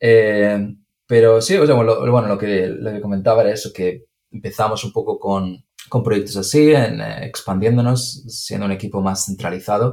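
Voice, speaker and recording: This man has a fairly low voice and a Spanish accent. His pitch varies in an ordinary way. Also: moderate pace. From Andalusia, Spain (Granada). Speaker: engineer. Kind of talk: interview. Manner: halting, many repetitions and fillers.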